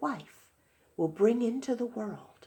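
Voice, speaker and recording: Using a put-on character voice, a woman swings her pitch very widely. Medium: read story. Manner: stern, commanding.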